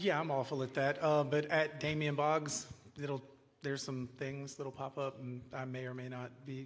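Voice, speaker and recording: At a moderate pace, a man with a plain, everyday voice speaks at a fairly high pitch. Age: middle-aged. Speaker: songwriter. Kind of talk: interview on stage.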